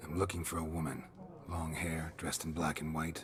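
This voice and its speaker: Clear background noise sits behind a man doing a put-on character voice. He talks fairly quickly at a very deep, low pitch. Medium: video game. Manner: terse, gruff, impatient.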